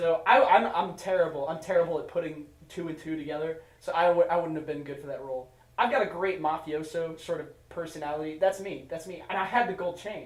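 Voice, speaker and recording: Over noticeable background noise, the voice moves at a fairly quick pace with ordinary pitch variation and big swings in loudness. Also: man, high pitch for a man. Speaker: podcast host. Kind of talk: casual chat.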